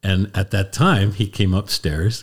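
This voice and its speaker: The speaker talks at a fairly slow pace in an American accent, somewhat breathy and with fairly even intonation. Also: man. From US Northeast (Lancaster County, Pennsylvania). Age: 70s. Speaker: Jesuit priest. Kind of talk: casual chat. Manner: halting.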